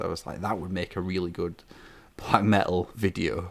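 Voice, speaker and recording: Speaking with a Yorkshire accent, a man uses a fairly low voice at a moderate pace. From northern England, Yorkshire. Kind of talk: interview. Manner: hesitant, many fillers and repeats.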